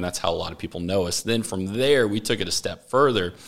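A man with a Texas accent, fairly low pitch and ordinary pitch variation, in a very clean recording with a silent background. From Texas, Austin. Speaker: business owner. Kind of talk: interview. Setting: studio.

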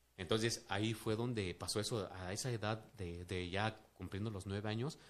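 A man speaks at a fairly low pitch in fairly even intonation. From Mexico City. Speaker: businessman. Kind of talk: casual interview testimony. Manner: halting, many fillers.

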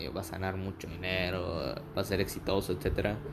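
With noticeable background noise behind him, a man speaks at a moderate pace in a very deep, low pitch. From Mexico, Campeche. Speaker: law student podcaster. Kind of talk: casual monologue.

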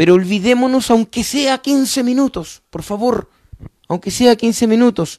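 Extremely high-pitched and animated, a man speaks at a fairly slow pace with ordinary pitch variation. The sound is dry and close, with no echo. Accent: Chilean. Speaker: motorsport commentator. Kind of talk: live stream chat. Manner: repetitive, stammering.

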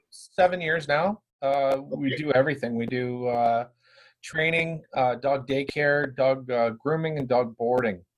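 A man with a Canadian accent and an ordinary speaking voice talks at a fairly slow pace, his fairly high pitch showing ordinary pitch variation. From Brantford, Ontario, Canada. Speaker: dog trainer and business owner. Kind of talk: casual interview.

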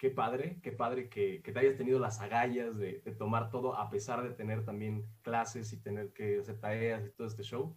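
His voice is somewhat breathy, and this man keeps his intonation fairly even. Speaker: podcast host. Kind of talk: casual interview. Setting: remote interview.

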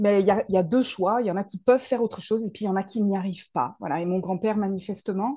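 A woman with a dark, mellow tone speaks at a fairly quick pace. Her intonation stays fairly even. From Paris region, France. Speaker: soul therapist and speaker. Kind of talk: interview.

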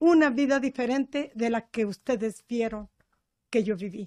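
The recording is very clean, and the background is silent. A woman talks at a fairly slow pace. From Chihuahua, Mexico. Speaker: church member sharing life story. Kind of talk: testimony.

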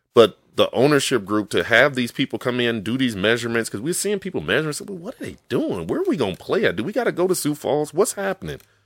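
On a very clean recording with a silent background, a man with an American accent and a fairly high voice with vocal fry talks at a very fast pace with hardly any pauses and very wide pitch swings. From Chicago. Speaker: football coach. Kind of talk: casual interview.

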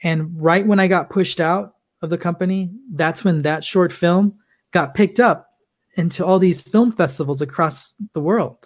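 Recorded very cleanly over a silent background, a man with an American accent uses an ordinary speaking voice, talking at a moderate pace with ordinary pitch variation. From US West Coast, Los Angeles. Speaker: filmmaker. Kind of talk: interview.

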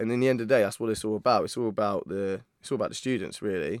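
In a southern English accent, a man speaks at medium pitch with ordinary pitch variation, recorded very cleanly against a silent background with a dry, close sound and no echo. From Isle of Wight, southern England. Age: 30s. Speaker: university video content creator. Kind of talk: casual interview.

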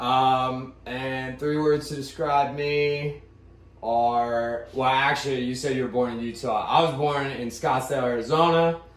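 Speaking at a fairly slow pace with fairly even intonation, a man with an American accent and medium pitch is heard with audible room echo. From Pittsburgh, Pennsylvania. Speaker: podcast co-host. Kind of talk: casual chat.

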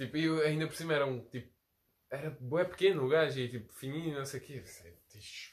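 This man's voice sits fairly high and sounds somewhat breathy. He talks at a fairly quick pace with ordinary pitch variation and big swings in loudness. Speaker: podcast host. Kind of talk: casual chat.

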